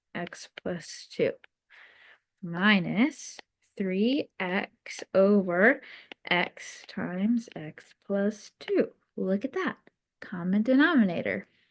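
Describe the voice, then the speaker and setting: Recorded with a dry, close sound and no echo, a woman speaks at a very slow pace with long, frequent pauses. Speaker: math teacher. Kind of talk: recorded lesson. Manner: casual, hesitant.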